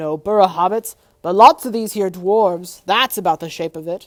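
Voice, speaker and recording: A put-on character voice at a middle pitch carries on at a moderate pace. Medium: read story.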